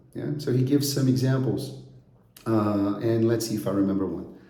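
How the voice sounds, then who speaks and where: Somewhat breathy and dark, mellow in tone, this voice moves at a moderate pace against audible room echo. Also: man. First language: Brazilian Portuguese. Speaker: English teacher. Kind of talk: course introduction. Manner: conversational, with frequent fillers.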